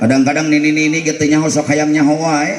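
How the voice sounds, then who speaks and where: With an animated tone and fairly high pitch, a man speaks amid noticeable background noise and audible room echo. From West Java, Cimande (Bogor). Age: 40s. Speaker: Islamic preacher. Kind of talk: sermon. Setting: mosque.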